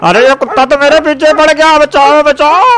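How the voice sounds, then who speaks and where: A man shouts in a put-on character voice at an extremely high pitch and a moderate pace. Background noise is clearly heard. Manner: shouting in panic.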